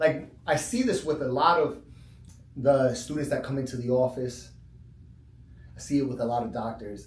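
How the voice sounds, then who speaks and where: With audible room echo, a man at medium pitch speaks at a moderate pace with vocal fry, fairly even intonation and long, frequent pauses. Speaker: chiropractor. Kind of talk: casual talk. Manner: conversational, filler-heavy.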